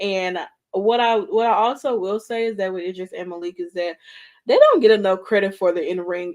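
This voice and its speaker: This woman has an American accent and a mid-range pitch. She talks at a moderate speed. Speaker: wrestling show co-host. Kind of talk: casual chat.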